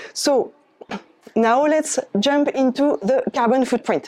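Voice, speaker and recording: With a French accent, a woman speaks in a dark, mellow tone and lively intonation. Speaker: climate volunteer speaker. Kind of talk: presentation. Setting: eco fair talk with audience.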